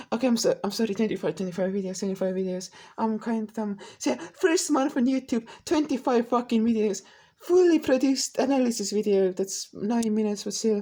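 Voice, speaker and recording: Lively in intonation, a woman speaks at a fairly high pitch with a dark, mellow tone. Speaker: YouTuber, vlogger. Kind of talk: casual monologue reviewing own videos. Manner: loud; halting, many restarts.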